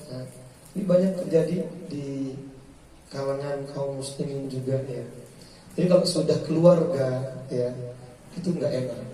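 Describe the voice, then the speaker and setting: Over noticeable background noise and audible room echo, a man with a fairly high pitch talks at a fairly slow pace with long, frequent pauses, big swings in loudness and fairly even intonation. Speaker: Islamic preacher. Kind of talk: religious study lecture. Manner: conversational, questions to audience.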